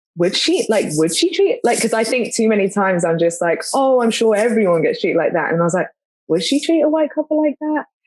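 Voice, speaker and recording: With a London accent, a woman talks at a fairly quick pace and fairly high pitch, her pitch swinging very widely while her loudness stays very even. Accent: London English, noticeable in US. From London, England. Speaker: podcast co-host, mother. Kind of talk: casual chat. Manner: rambling with many fillers and false starts.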